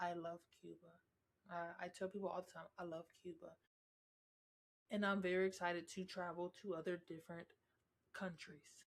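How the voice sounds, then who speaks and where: A woman talks in a fairly low pitch. Her intonation is monotone and flat. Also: long, frequent pauses, big swings in loudness. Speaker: podcast host. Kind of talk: casual monologue. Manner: slow.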